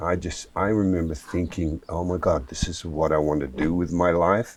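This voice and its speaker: Speaking with an Australian accent, a man has a very deep, low pitch. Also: fairly even intonation, moderate pace. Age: 70s. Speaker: martial artist and actor. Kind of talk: interview.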